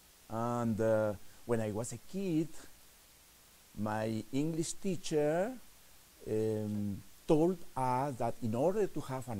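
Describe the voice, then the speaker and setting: A very slow man's voice in a strong Spanish accent, lively intonation, audible room echo. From Peru. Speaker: novelist. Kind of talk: lecture. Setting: stage with audience. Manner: halting.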